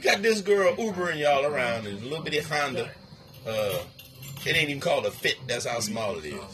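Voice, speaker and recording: Over music in the background, a man talks at a very fast pace and a fairly high pitch with very wide pitch swings. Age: 50s. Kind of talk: casual chat.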